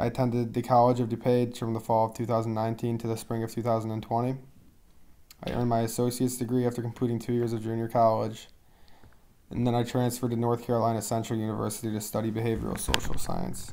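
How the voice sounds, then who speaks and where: Delivered at a very fast pace, a man's voice has a dark, mellow tone, a medium pitch and monotone, flat intonation. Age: 20s. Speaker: student athlete. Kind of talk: self-introduction presentation.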